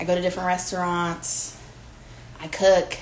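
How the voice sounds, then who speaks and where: With an American accent, a woman talks at a moderate pace and medium pitch, with audible room echo. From Virginia Beach, US. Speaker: home cook, food creator. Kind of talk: cooking demonstration. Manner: casual, chatty with fillers.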